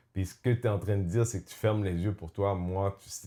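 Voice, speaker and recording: In a very clean recording with a silent background, a man with a Quebec accent speaks at a moderate pace in an animated tone and a fairly low pitch. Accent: Québécois. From Quebec, Montreal. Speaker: podcast host. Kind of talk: casual chat. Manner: animated, mixes in English.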